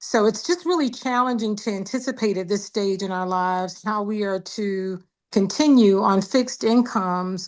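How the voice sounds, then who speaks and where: A woman speaks with an unremarkable speaking voice at medium pitch and a moderate pace. Her pitch varies in an ordinary way over a quiet background. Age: 60s. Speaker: caller, retired veteran and former university administrator. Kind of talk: town hall comment. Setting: virtual town hall call.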